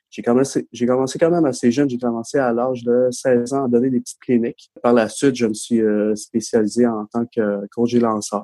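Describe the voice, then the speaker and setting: The recording is dry and close with no echo, capturing a man's dark, mellow, medium-pitched voice with fairly even intonation at a moderate pace. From Quebec. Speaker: baseball centre manager. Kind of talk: casual chat.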